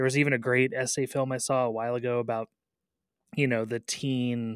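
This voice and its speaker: In a plain, everyday voice, a man talks at a medium pitch and moderate pace with fairly even intonation. The sound is dry and close with no echo, on a very clean recording with a silent background. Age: 30s. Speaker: radio film critic host. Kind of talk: interview.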